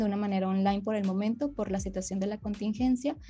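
A woman at medium pitch has a dark, mellow tone, a somewhat breathy voice and fairly even intonation. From northern Mexico (Monterrey, Nuevo León). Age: 20s. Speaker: amputee and psychologist. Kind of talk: interview, personal testimony.

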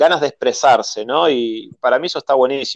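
Fairly high-pitched male speech with a Rioplatense accent and lively intonation, in a dry, close sound with no echo. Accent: Argentine Rioplatense Spanish. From Argentina. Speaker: film director. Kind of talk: interview. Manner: halting, frequent repetitions and fillers.

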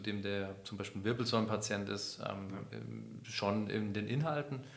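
A man with a fairly low pitch talks at a moderate pace, and audible room echo surrounds his voice. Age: 40s. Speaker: rehab center managing director. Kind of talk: interview. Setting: in-person at the rehab center.

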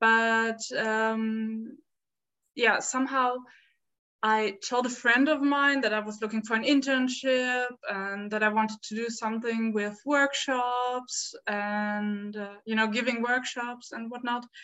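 A woman with a German accent speaks at a very slow pace in a fairly high pitch, her intonation flat and monotone. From Berlin, Germany. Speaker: volunteer at an education center. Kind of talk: casual interview chat.

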